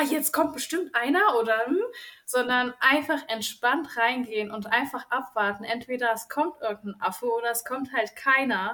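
Fairly slow, high-pitched female speech with ordinary pitch variation. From central Germany, near Kassel (northern Hesse). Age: 20s. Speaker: kindergarten teacher, group-trip participant. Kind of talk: casual interview chat.

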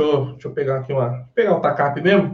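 A man speaks at a fairly high pitch in a somewhat breathy voice. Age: 30s. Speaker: guitarist. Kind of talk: casual chat.

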